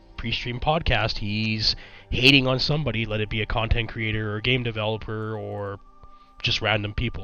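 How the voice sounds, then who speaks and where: Music plays in the background as a man speaks at a moderate pace in a fairly low pitch. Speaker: YouTube commentator. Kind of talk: commentary vlog. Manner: casual with frequent fillers.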